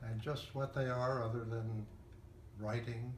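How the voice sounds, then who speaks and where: A man at medium pitch speaks at a very slow pace over noticeable background noise. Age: 80s+. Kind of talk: interview answer. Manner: thoughtful, hesitant.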